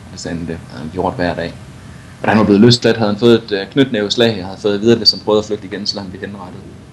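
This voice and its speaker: Over noticeable background noise, a man with a fairly low voice speaks very fast, his intonation fairly even but his loudness swinging widely. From Denmark, Viborg. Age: 30s. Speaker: adventure cyclist and journalist. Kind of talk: interview.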